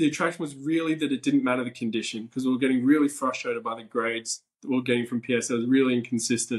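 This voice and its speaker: A man with an Australian accent speaks at a very fast pace with hardly any pauses. His medium-pitched voice keeps fairly even intonation. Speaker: ticket collector. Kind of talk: podcast interview.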